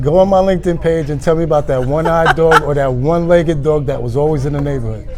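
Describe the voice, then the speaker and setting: Speaking very fast with a New York accent, a man with a fairly high voice keeps his intonation fairly even, with audible room echo and noticeable background noise. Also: hardly any pauses. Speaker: recruiter. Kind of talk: interview. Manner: casual.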